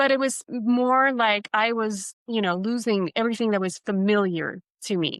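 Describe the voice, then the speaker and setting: An unremarkable speaking voice from a woman, fairly high-pitched, moderate in pace, with ordinary pitch variation, very even loudness and a dry, close sound with no echo. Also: quiet background. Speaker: self-awareness coach and author. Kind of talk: podcast interview.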